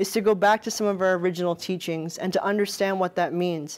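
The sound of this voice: At a moderate pace, a woman talks at a medium pitch with a slightly mellow tone.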